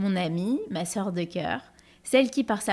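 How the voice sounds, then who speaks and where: A woman talks in an unremarkable speaking voice at a medium pitch. Her pace is moderate and her pitch variation ordinary. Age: 40s. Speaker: podcast host. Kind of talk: scripted narration; interview.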